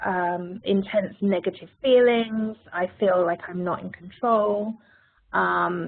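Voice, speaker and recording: With a British accent, a woman talks at a medium pitch. Her pace is fairly slow. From United Kingdom. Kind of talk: webinar presentation. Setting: virtual program.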